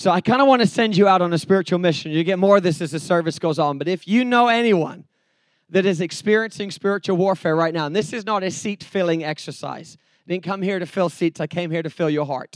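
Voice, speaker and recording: A very fast, high-pitched man with an English accent. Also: ordinary pitch variation, quiet background. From England. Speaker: evangelist preacher. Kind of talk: sermon. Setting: church with audience.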